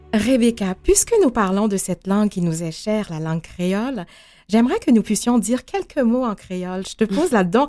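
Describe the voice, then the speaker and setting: In a very clean recording with a silent background, a woman with a fairly high pitch speaks at a fairly slow pace with lively intonation. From Haiti. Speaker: radio host. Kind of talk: radio interview.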